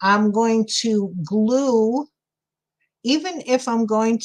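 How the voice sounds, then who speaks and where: A woman speaks with a New York accent and ordinary pitch variation. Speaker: crafter livestreaming a sculpting tutorial. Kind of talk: casual live-stream tutorial with chat. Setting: live stream. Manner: chatty, thinking aloud.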